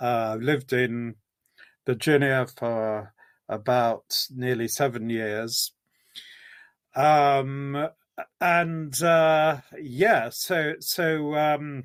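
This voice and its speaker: In an English accent, a man with a fairly high pitch and ordinary pitch variation speaks at a very slow pace, with long, frequent pauses. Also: very clean recording, silent background. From England, near London. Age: 70s. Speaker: theology professor. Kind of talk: interview. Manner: halting, many fillers.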